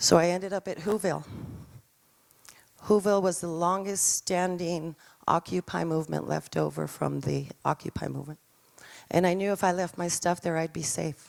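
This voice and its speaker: On a very clean recording with a silent background and a dry, close sound with no echo, a woman with a New Mexican accent speaks at a moderate pace with long, frequent pauses. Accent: New Mexican American English. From New Mexico, Albuquerque South Valley. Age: 60s. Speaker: artist with homelessness experience. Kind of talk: personal testimony.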